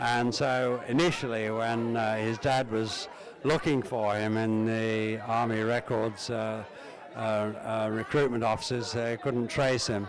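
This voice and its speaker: A man with a southern English accent speaks in a monotone, flat way at very even loudness, with noticeable background noise and audible room echo. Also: medium pitch for a man, fairly slow pace. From England, Uxbridge (west London). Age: 70s. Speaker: family member. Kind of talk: reminiscence. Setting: family reunion gathering. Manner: halting, many fillers.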